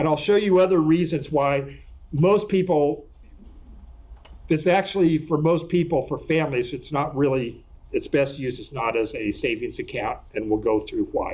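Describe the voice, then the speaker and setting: A man's fairly high voice with an American accent, ordinary pitch variation and audible room echo. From California. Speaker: attorney. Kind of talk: lecture. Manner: fast.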